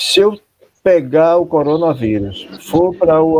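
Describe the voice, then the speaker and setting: A man talks at a fairly slow pace with a fairly high pitch. His pitch swings very widely. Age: 60s. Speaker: pastor. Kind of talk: online talk on a live stream. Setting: live video stream. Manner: conversational, many fillers.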